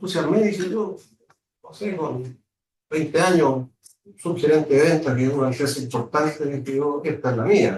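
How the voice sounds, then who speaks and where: A man speaks at a moderate pace in a fairly high, somewhat breathy voice. His intonation is lively, and his loudness swings widely. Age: 60s. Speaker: business executive. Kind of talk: guest lecture. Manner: hesitant, many fillers.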